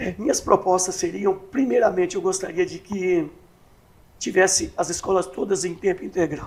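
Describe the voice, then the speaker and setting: This man has a high pitch, ordinary pitch variation, and a moderate pace. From Brazil, Catanduva (São Paulo state). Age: 60s. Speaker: municipal election candidate. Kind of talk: interview.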